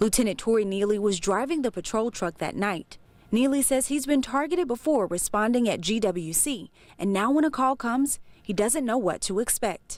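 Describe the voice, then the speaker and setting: On a very clean recording with a silent background, a woman with an unremarkable speaking voice talks at a moderate pace, her fairly high pitch carrying lively intonation. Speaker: TV news reporter. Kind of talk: broadcast news report.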